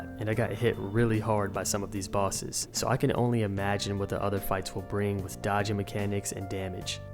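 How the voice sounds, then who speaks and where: A man's fairly low voice at a fairly quick pace with hardly any pauses and fairly even intonation, music playing in the background. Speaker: gaming video creator. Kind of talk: game review narration. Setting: temporary room while traveling. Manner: low, quiet voice.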